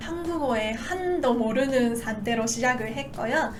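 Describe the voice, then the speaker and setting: With a Japanese accent, a woman talks fairly slowly in a high voice with lively intonation, over noticeable background noise and audible room echo. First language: Japanese (speaking Korean). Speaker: Japanese language teacher, YouTuber. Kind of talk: casual talk to camera. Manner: frequent filler pauses.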